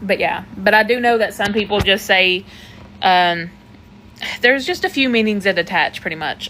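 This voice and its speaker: A woman with a slight Southern US accent, medium pitch, ordinary pitch variation and a moderate pace, broken by long, frequent pauses. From Tennessee. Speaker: manifestation coach. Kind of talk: live stream chat answering comments. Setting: TikTok live stream. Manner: casual, conversational.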